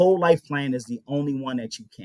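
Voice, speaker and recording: On a very clean recording with a silent background, a man speaks at a fairly high pitch with fairly even intonation in a dry, close sound with no echo. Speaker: life insurance and wealth building advisor. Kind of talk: radio interview. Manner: fast.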